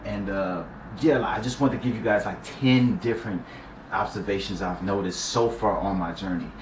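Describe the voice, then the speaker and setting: Amid noticeable background noise and audible room echo, a man with a fairly low pitch and ordinary pitch variation talks at a fairly quick pace. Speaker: YouTuber vlogging a personal celibacy journey. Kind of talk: casual talk to camera. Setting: talking to camera. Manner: casual slangy.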